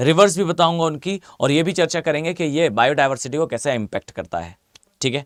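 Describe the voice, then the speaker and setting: A man speaks at a moderate pace in a high pitch with lively intonation, the sound dry and close with no echo. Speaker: online exam-prep teacher. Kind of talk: live online lecture. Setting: live stream class.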